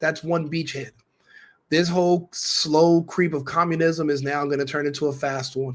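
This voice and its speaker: Ordinary pitch variation in a fairly high male voice, an unremarkable speaking voice. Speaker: political commentator. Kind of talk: commentary monologue to camera.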